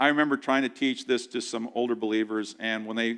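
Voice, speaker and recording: At a moderate pace and medium pitch, a man talks in an ordinary speaking voice over a quiet background. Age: 60s. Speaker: pastor. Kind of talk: sermon. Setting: church.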